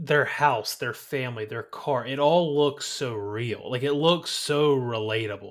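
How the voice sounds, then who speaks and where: A man's normal speaking voice with an American accent and ordinary pitch variation. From eastern North Carolina. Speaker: co-host of a movie podcast. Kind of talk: casual chat. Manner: relaxed, conversational, repeats words.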